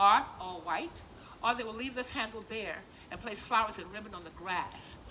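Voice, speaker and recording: A woman speaks in a fairly high pitch with an animated tone, ordinary pitch variation and a fairly quick pace. Noticeable background noise and audible room echo fill the recording. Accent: American. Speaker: plantation tour guide and cultural presenter. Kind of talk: live presentation to visitors. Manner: animated, conversational storytelling.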